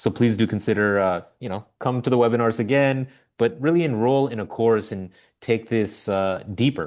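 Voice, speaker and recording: A man speaks in a normal speaking voice at a moderate pace, with ordinary pitch variation and a quiet background. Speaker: webinar host. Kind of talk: webinar closing remarks.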